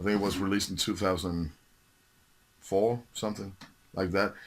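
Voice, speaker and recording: A man speaks in a very deep, low voice with a Danish accent. The recording is very clean, with a silent background. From Denmark. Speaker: metal music collector, video host. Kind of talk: casual show-and-tell video. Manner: halting, many fillers.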